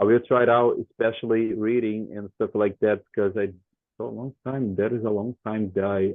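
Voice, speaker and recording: Fairly even intonation and a moderate pace mark this voice with a Brazilian Portuguese accent. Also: man. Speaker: English student. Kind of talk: language class conversation. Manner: halting, repetitive.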